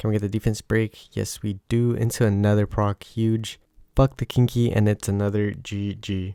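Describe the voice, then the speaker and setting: On a very clean recording with a silent background and a dry, close sound with no echo, a quiet man with a fairly low pitch and a dark, mellow tone speaks at a moderate pace with monotone, flat intonation. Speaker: gaming YouTuber. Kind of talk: gameplay commentary. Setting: home recording at midnight. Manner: quiet, low volume.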